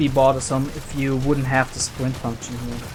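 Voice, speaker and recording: Speaking with a non-native accent, a man with a fairly high voice is heard over noticeable background noise. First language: not English. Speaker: video game let's player. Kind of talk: gameplay commentary. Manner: casual, with filler hesitations.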